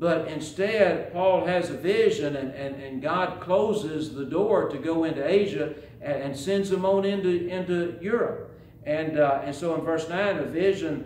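Audible room echo and light background noise surround a man speaking in a high voice with ordinary pitch variation. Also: fairly slow pace. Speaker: preacher. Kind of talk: sermon. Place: church. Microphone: podium.

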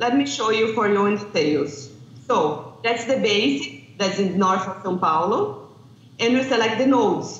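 Audible room echo surrounds a woman speaking in a Portuguese accent at a fairly slow pace with lively intonation. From Brazil. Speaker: landscape planning researcher; remote conference presenter. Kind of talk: conference presentation. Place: hall. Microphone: video call.

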